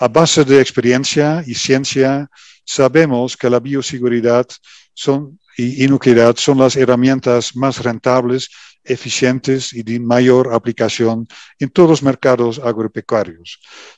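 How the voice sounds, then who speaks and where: Against a quiet background, a man with a Dutch accent speaks at a medium pitch and fairly slow pace with fairly even intonation in a dry, close sound with no echo. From Netherlands. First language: Dutch (speaking Spanish). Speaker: company executive. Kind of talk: welcome speech. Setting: virtual event. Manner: halting.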